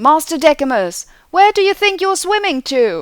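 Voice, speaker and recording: A put-on character voice comes out squeaky and high at a moderate pace. The recording is very clean, with a silent background. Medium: read story. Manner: gruff, sardonic.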